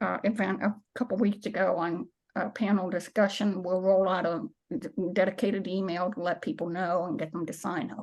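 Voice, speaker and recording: A woman talks in a normal speaking voice, pitched medium, with ordinary pitch variation. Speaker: minister and climate nonprofit director. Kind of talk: presentation with slides.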